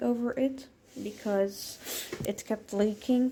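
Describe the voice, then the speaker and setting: Speaking very slowly with a Dutch accent, a woman keeps her intonation fairly even. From Netherlands. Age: 20s. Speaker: vlogger. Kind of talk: casual apartment tour. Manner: hesitant with fillers.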